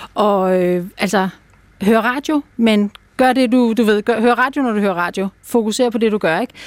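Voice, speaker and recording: A fairly slow pace with a dry, close sound and no echo. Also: woman, fairly high pitch for a woman, ordinary pitch variation. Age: 50s. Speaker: dog behaviour consultant. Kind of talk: interview. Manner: hesitant, many fillers.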